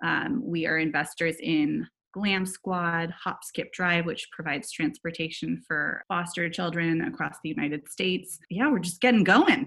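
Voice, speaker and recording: A woman talks with a fairly low pitch and vocal fry. Her intonation is lively. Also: moderate pace, hardly any pauses. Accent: American. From US, California (Silicon Valley). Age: 30s. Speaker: venture capital investor. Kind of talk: interview.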